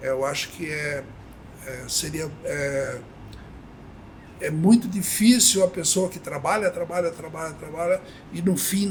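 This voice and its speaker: A very slow, high-pitched man against noticeable background noise. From Brazil, São Paulo state interior (Avaré). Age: 70s. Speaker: company cofounder, retired banker. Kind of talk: podcast interview. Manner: halting, many fillers.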